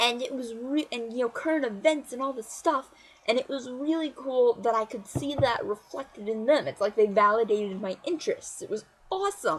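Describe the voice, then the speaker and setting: Her delivery is fairly quick, with a high pitch and lively intonation from this woman. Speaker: vlogger. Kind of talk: casual vlog monologue. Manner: fast; animated.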